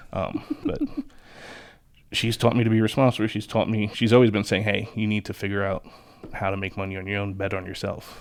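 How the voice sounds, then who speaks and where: With a New York accent, a man speaks at a fairly quick pace, fairly low in pitch and monotone, flat in intonation, broken by long, frequent pauses. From Long Island, New York. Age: 30s. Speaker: locksmith. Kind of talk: casual chat.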